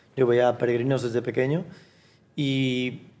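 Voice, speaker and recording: A man speaks at a fairly slow pace in a normal speaking voice. His pitch is fairly high. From Galicia, Spain (Fisterra). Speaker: language teaching entrepreneur. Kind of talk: interview conversation.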